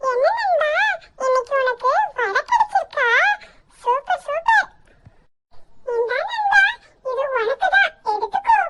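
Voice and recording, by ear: This is a cartoonish character voice, squeaky and extremely high-pitched. It moves at a fairly slow pace.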